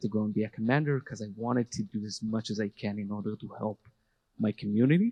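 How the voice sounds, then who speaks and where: A man talks at a fairly quick pace and fairly low pitch with an Israeli accent. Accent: Hebrew. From Israel, Jerusalem. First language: Hebrew. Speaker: army veteran and educator. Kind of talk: panel talk. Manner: halting.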